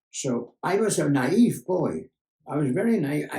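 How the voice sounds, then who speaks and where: A man speaks very slowly in a dark, mellow tone with vocal fry. His pitch swings very widely. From Germany. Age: 80s+. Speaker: journalist and Holocaust survivor. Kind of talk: interview answer.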